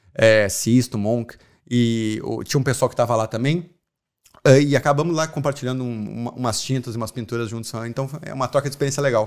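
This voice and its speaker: Speaking fairly quickly in a strong Porto Alegre accent, a man at medium pitch keeps his intonation fairly even while his loudness swings widely, in a very clean recording with a silent background. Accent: strong gaúcho (Porto Alegre). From southern Brazil, Porto Alegre. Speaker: artist and muralist. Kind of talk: casual interview.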